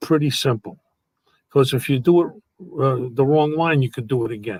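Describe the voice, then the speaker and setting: A man speaks with a New York accent at a fairly high pitch. His intonation is lively, and the sound is dry and close with no echo. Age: 80s+. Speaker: actor and entertainer. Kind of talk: casual interview chat. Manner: animated.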